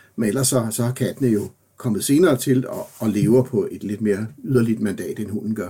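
Moderately paced, a man speaks at a medium pitch with ordinary pitch variation. His tone is dark and mellow and somewhat breathy. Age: 60s. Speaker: professor. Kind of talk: interview. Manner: halting.

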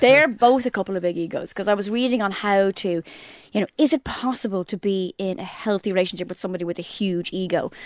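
A woman talks at a very fast pace in an Irish accent, the sound dry and close with no echo. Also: medium pitch for a woman, ordinary pitch variation. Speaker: podcast co-host. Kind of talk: casual chat. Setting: studio.

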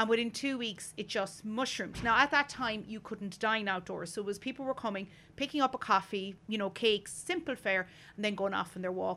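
Here a woman talks at a fairly quick pace in a bright, sharp tone. Her pitch is fairly high, with ordinary pitch variation. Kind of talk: casual chat. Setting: outdoors at treehouse.

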